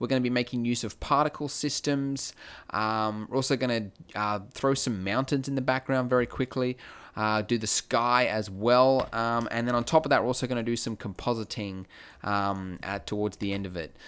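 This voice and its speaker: A man with an Australian accent at a moderate pace, ordinary pitch variation, quiet background. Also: medium pitch for a man. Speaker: 3D graphics tutorial creator. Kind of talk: tutorial. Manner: casual, many filler words.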